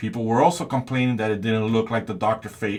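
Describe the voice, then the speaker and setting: A man with a non-native accent on a very clean recording with a silent background. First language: not English. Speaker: toy reviewer. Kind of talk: product review.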